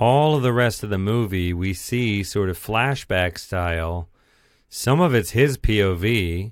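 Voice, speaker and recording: With an unremarkable speaking voice, a man talks at a fairly slow pace in a fairly low pitch with ordinary pitch variation, recorded very cleanly against a silent background. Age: middle-aged. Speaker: movie podcast host. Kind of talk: casual chat.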